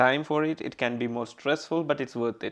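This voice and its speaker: A man with a Keralan accent speaks at a fairly quick pace with fairly even intonation. The background is quiet. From Kerala, southern India. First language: Malayalam. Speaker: podcaster. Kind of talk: casual interview chat.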